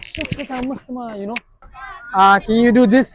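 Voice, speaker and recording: Speaking at a very fast pace, a man has an extremely high pitch and an animated tone. The sound is dry and close, with no echo. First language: Somali. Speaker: street challenge vlogger. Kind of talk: street prank challenge vlog.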